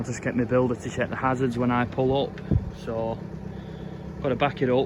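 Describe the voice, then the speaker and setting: Monotone, flat speech at a moderate pace with noticeable background noise. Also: man. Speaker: property renovation vlogger. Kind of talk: casual vlog talk to camera.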